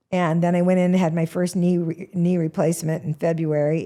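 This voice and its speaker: An American-accented woman's fairly low voice, dark and mellow in tone, with fairly even intonation. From Washington state, US Pacific Northwest. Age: 70s. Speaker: comedian. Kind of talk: interview.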